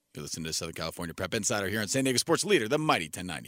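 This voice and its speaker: A man with vocal fry and a bright, sharp, animated tone races along at a very fast pace, his pitch swinging very widely, in a dry, close sound with no echo. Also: very clean recording, silent background. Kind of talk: radio sports debate show banter. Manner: animated, joking, quick-talking, constantly interrupting and laughing.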